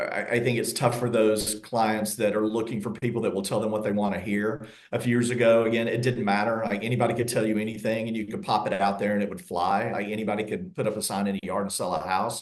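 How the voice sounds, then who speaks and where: A man at medium pitch with a Southern accent, very fast pace and fairly even intonation, plus audible room echo and noticeable background noise. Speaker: real estate agent. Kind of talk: interview.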